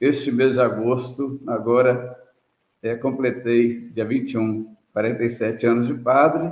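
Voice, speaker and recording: A man speaks at a fairly slow pace, his intonation flat and monotone. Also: medium pitch for a man. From Brazil, interior of Minas Gerais. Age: 70s. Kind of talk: interview testimony.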